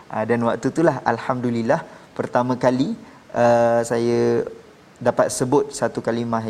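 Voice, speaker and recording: With noticeable background noise behind him, a man talks at a moderate pace in a medium pitch. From Malaysia (born Sabah, raised Peninsular). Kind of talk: testimony.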